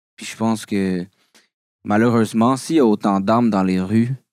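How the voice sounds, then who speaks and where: In a very clean recording with a silent background and a dry, close sound with no echo, speech with a Quebec accent moves at a fairly slow pace with ordinary pitch variation. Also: man. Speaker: rapper. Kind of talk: casual chat.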